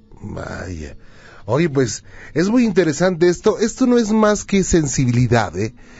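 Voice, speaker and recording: A man speaks at a high pitch and a fairly slow pace, with very wide pitch swings. Noticeable background noise runs behind him. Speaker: radio host. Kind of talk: late-night call-in radio show.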